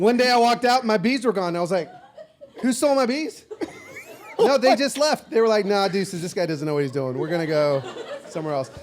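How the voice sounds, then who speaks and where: A man with a high pitch talks very fast in an animated tone, with very wide pitch swings. Long, frequent pauses break up his speech over noticeable background noise. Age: 50s. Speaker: social media personality. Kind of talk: casual chat. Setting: stage with audience.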